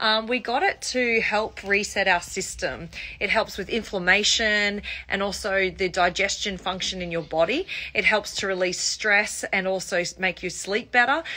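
Her pace is moderate, and this woman's voice shows ordinary pitch variation. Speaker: home lifestyle creator. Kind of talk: casual vlog chat. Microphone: phone near.

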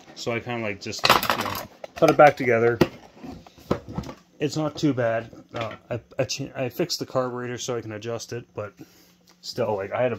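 Noticeable background noise sits under speech delivered at a fairly quick pace. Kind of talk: casual vlog chat. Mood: mildly frustrated. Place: workshop. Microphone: phone near.

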